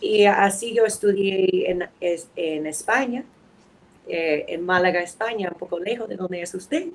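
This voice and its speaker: A woman speaks at a fairly slow pace with a medium pitch and ordinary pitch variation, in an American accent. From New England, US (New Hampshire, Boston). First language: English (speaking Spanish). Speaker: anthropologist and lawyer. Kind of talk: podcast interview. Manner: halting.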